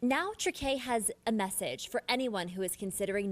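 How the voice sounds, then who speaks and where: At a moderate pace, a woman speaks in a normal speaking voice, fairly high in pitch, with ordinary pitch variation. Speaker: TV news reporter. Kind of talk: TV news report.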